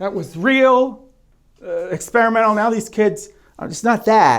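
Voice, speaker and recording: A man at a moderate pace. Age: middle-aged. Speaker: musician. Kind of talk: casual interview.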